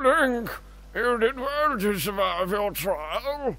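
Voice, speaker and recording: An extremely high-pitched put-on character voice from a man, fairly slow, with music in the background. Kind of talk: mock-formal royal speech. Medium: game stream. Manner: formal, ornate. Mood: grave and grateful.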